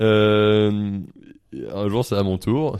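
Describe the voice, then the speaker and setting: A man talks fairly low in pitch on a spotless recording with total background silence. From France, Paris area. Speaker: comedian and media personality. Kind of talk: casual chat. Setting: studio.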